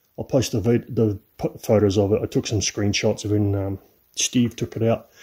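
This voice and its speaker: Recorded very cleanly against a silent background, a man speaks at a fairly quick pace. His tone is dark and mellow. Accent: New Zealand. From New Zealand. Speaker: classic car restorer. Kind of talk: workshop vlog. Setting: home garage. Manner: casual.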